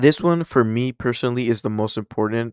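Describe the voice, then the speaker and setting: A man with a non-native accent speaks at a medium pitch in a very clean recording with a silent background and a dry, close sound without any echo. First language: not English. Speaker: gaming commentator. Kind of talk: casual commentary reading news. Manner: casual, halting with repetitions.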